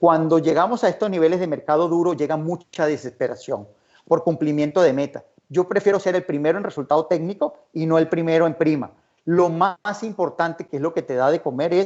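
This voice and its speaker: Speaking at a fairly quick pace, a man with a high-pitched voice uses ordinary pitch variation. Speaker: insurance risk expert, conference speaker. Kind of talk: conference talk. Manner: fast.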